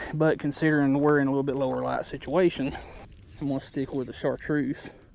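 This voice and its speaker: A quiet man amid noticeable background noise. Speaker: fishing vlogger. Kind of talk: casual vlog narration while fishing. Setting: outdoors by a creek. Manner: quiet, subdued.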